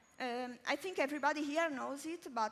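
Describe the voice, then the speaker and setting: A woman's high-pitched voice with ordinary pitch variation over noticeable background noise. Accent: Italian. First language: Italian. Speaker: interviewer. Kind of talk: interview on stage.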